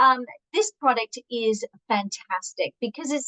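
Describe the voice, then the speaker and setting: A woman's high-pitched, animated voice with ordinary pitch variation, in a dry, close sound with no echo. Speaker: product director and nutritionist. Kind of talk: training webinar. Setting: video call.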